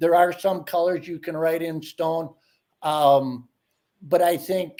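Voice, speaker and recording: A man talks at a fairly slow pace with a high pitch. His tone is dark and mellow, and his intonation fairly even. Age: 60s. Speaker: ice fishing angler. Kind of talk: casual chat.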